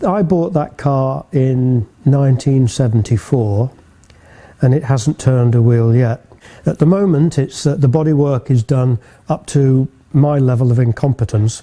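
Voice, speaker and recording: A man talks at a fairly slow pace with very even loudness and ordinary pitch variation. His tone is dark and mellow, and somewhat breathy. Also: medium pitch for a man. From northern England, Manchester. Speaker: classic car restorer and business owner. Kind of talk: interview monologue. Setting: workshop.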